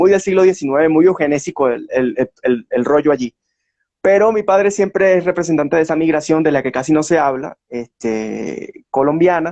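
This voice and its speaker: A man with an unremarkable speaking voice at a fairly high pitch, ordinary pitch variation and a moderate pace, in dry, close sound with no echo. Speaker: historian. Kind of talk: interview.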